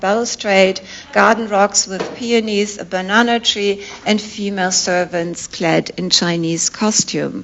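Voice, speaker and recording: Over noticeable background noise, a woman with a non-native accent speaks fairly slowly at a medium pitch with fairly even intonation. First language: not English. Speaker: art historian professor. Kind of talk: academic lecture. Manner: formal.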